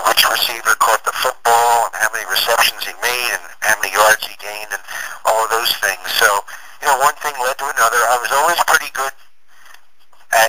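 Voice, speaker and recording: Speaking at a moderate pace with a medium pitch and ordinary pitch variation, a man leaves long, frequent pauses. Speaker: public address announcer. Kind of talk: interview answer. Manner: casual, conversational, some hesitations.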